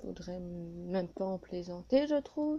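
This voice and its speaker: At a fairly slow pace, the speaker talks in a dark, mellow tone. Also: woman. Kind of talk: improvised casual reaction video to camera. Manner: hesitant, with pauses.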